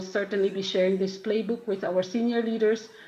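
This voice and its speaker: Audible room echo around a woman's medium-pitched voice, her intonation fairly even. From Philippines. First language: not English. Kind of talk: conference talk. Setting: conference. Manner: halting.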